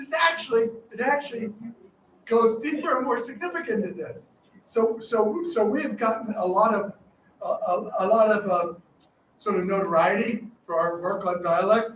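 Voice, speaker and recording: With audible room echo, a high-voiced man speaks at a moderate pace in an animated tone with lively intonation. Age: 80s+. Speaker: professor. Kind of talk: lecture.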